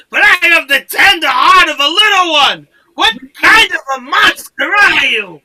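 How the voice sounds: A gruff, put-on character voice delivers its lines at a moderate pace. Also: woman, extremely high pitch for a woman.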